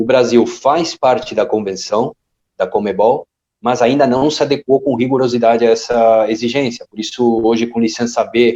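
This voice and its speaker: The man's voice has a dark, mellow tone and a dry, close sound with no echo. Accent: Spanish. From Argentina. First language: Spanish (speaking Portuguese). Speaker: football coach educator. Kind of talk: podcast interview.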